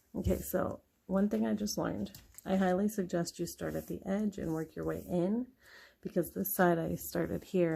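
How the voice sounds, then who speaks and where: Soft-spoken, a woman talks at a moderate pace. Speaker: mom vlogger, planner crafter. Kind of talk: casual tutorial narration. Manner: quiet, soft-spoken.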